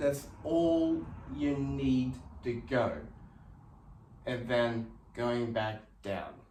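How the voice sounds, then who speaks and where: Speaking very slowly with long, frequent pauses, a man keeps a medium pitch and ordinary pitch variation while audible room echo surrounds him. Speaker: fitness instructor. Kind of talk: tutorial.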